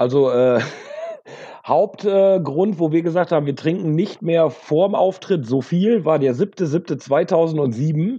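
Male voice, high pitched and dark and mellow in tone, with ordinary pitch variation against a quiet background. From Münsterland, north-west Germany. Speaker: rock musician, backing vocalist. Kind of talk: casual chat.

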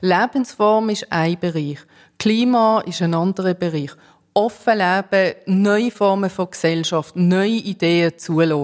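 A woman speaks at a very slow pace with medium pitch and ordinary pitch variation. The recording is very clean, with a silent background. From immigrant to Switzerland. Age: 40s. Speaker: cantonal politician. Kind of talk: political debate. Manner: hesitant, many fillers.

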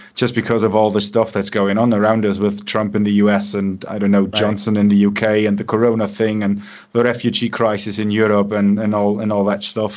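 Speaking with a German accent, a man with a fairly low voice talks at a moderate pace in a flat, monotone way. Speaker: radio host and musician. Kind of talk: radio show host interview.

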